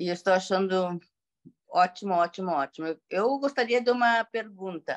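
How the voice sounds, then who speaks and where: The sound is dry and close, with no echo, as a woman speaks. She uses ordinary pitch variation at a moderate pace. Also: medium pitch for a woman. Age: 60s. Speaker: sales representative asking a question. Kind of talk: question in online training. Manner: halting.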